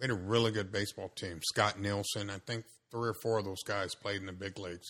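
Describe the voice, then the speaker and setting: A fairly quick man with an American accent, fairly low pitch, bright, sharp tone and fairly even intonation, against a quiet background. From South Central Los Angeles. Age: 60s. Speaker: high school baseball coach. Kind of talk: casual interview chat.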